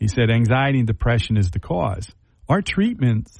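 Speaking at a moderate pace and medium pitch, this man has a plain, everyday voice. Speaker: addiction treatment nonprofit founder. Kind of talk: radio interview. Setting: studio.

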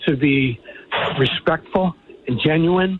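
A man is speaking. His voice sits fairly high. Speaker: entertainment executive guest. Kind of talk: casual radio interview, friendly. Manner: energetic, enthusiastic.

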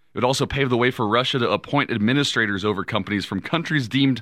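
This man's pitch sits in the middle range. Behind him, all is quiet. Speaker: radio co-host. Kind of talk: casual chat and news reading.

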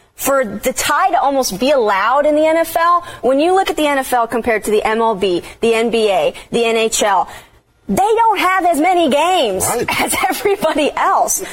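A woman with an American accent speaks at high pitch with very wide pitch swings and very even loudness, over noticeable background noise. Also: moderate pace. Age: 20s. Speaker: TV sports reporter. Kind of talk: casual sports chat.

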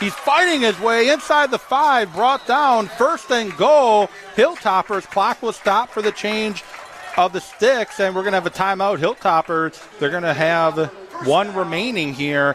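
Pitch swings very widely as the speaker goes at a fairly slow pace over noticeable background noise. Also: man, high pitch for a man. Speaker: radio sports play-by-play announcer. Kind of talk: live sports commentary, play-by-play. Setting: broadcast booth at a football stadium.

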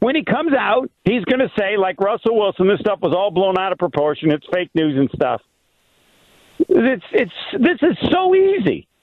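The pitch moves in very wide swings while the loudness stays very even. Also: man, high pitch for a man, moderate pace. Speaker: radio host. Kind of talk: casual sports radio chat. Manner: joking, teasing.

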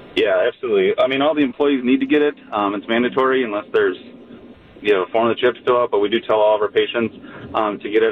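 Very fast speech over noticeable background noise. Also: man. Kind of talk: casual chat. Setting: studio.

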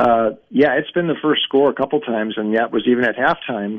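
At a fairly quick pace, a man with a plain, everyday voice speaks at a medium pitch with ordinary pitch variation. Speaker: sports betting analyst. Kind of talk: radio interview.

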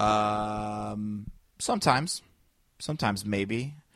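A man with a fairly low voice and a Chicago accent, on a very clean recording with a silent background. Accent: Midwestern US (Chicago area). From Northwest Indiana. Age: 30s. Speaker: stand-up comic and podcaster. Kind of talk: casual interview chat. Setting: podcast studio with microphones.

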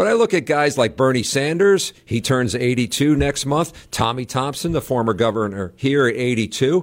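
In a normal speaking voice, a man at medium pitch talks at a moderate pace with hardly any pauses, very even loudness and lively intonation, on a very clean recording with a silent background. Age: 60s. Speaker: political reporter. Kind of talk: casual interview.

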